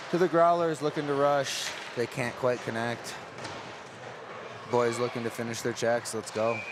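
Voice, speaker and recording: Noticeable background noise sits behind a man speaking at a moderate pace and medium pitch. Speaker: play-by-play hockey announcer. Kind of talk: live sports commentary.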